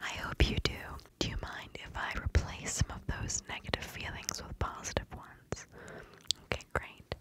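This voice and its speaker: A soft-spoken woman whispers at a moderate pace, the sound dry with no echo but loud background noise behind her. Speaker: ASMR creator. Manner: close soft whisper into microphone. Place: home room. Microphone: studio mic.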